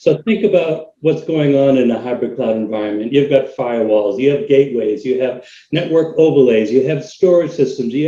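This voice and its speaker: With a Boston accent, a man talks at a moderate pace, using lively intonation and a fairly high pitch. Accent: American, Boston. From US Northeast, Boston, Massachusetts. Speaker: cloud technology consultant. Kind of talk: webinar interview.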